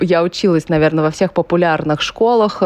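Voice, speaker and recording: A woman talking at a fairly quick pace, with ordinary pitch variation, a dry, close sound with no echo, and noticeable background noise. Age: 30s. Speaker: entrepreneur and amateur runner, blogger. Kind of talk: casual interview.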